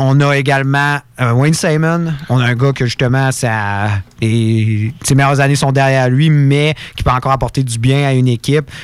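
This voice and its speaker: Here a man talks at a moderate pace with a medium pitch. His intonation is fairly even, and his loudness very even. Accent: Quebec. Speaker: hockey radio panelist. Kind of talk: hockey talk radio panel.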